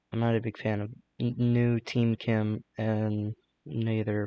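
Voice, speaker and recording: Quiet and monotone, a man speaks with flat intonation at a fairly low pitch. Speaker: gaming video creator. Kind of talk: casual commentary. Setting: bedroom at night. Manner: hesitant.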